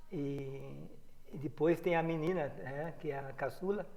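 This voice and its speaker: A man with a normal speaking voice, fairly high in pitch, with ordinary pitch variation at a fairly slow pace. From Rio Claro, São Paulo state, Brazil. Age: 60s. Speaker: former footballer and coach. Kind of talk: interview.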